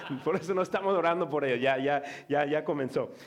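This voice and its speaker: A man with a Mexican accent speaks with ordinary pitch variation. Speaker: pastor. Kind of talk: sermon. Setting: church. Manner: halting.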